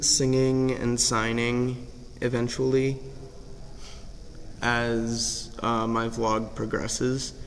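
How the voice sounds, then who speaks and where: Audible room echo surrounds a man's voice. He speaks at a very slow pace, with long, frequent pauses. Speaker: vlogger. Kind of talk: casual vlog monologue. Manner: hesitant, many fillers.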